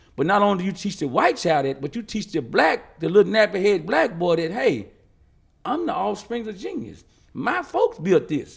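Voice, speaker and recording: This man has a high pitch and an animated tone. He talks at a moderate pace with lively intonation. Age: 60s. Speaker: community activist. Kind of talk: interview.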